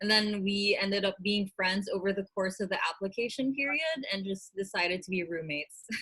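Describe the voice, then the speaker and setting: A woman at medium pitch and moderate pace. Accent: Filipino. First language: Tagalog. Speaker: vlogger and small business owner. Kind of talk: casual interview.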